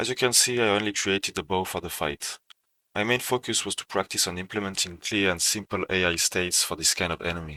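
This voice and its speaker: Speaking at a fairly quick pace with a French accent, a man has a fairly low pitch, a bright, sharp tone and ordinary pitch variation, on a very clean recording with a silent background and a dry, close sound with no echo. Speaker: self-taught game developer. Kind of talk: portfolio walkthrough narration.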